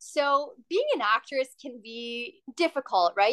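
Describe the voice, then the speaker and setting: With a western Canadian accent, a woman speaks at a fairly slow pace, high in pitch with a bright, sharp tone, in a dry, close sound with no echo. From western Canada. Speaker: hotel customer service worker and former actress. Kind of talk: interview.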